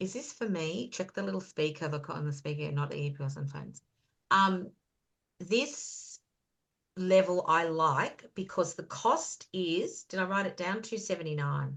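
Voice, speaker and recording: A woman's fairly low voice in an Australian accent, with lively intonation, a moderate pace and a quiet background. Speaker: beauty business consultant, guest speaker. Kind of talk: online business presentation. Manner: loud; animated.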